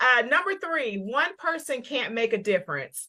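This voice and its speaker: Lively, bright and sharp woman's voice in a Southern US accent, at a fairly slow pace, on a very clean recording with a silent background. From US South. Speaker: parent advocate co-hosting a livestream. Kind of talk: casual livestream discussion. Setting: Facebook live video.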